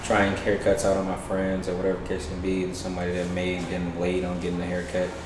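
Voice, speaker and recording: Over noticeable background noise and audible room echo, a man with a very deep, low voice and an American accent rushes along at a very fast pace with hardly any pauses, his intonation monotone and flat. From Detroit, Michigan. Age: 20s. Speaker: barbershop owner. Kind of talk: interview. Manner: hesitant, many fillers.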